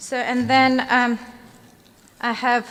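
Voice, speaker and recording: The speaker is a woman. She talks with a non-native accent. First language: not English. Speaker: cake decorating instructor. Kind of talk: live demonstration tutorial. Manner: halting, many fillers.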